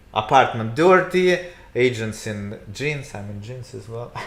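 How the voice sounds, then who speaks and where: A man with a Russian accent, medium pitch, lively intonation and a fairly slow pace, with audible room echo. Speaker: real estate agent. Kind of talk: casual chat. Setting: livestream. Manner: halting.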